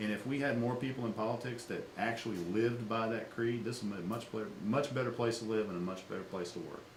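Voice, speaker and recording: Amid noticeable background noise and audible room echo, a man with a medium pitch talks at a very fast pace with hardly any pauses and fairly even intonation. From Louisiana. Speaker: political campaign manager. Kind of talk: interview. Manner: halting, many repeated words.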